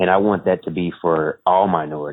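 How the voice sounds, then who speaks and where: An American accent with fairly even intonation. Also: man. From Florida, Tampa area. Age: 20s. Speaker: entrepreneur, stock education founder. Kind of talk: podcast interview. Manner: hesitant, many fillers.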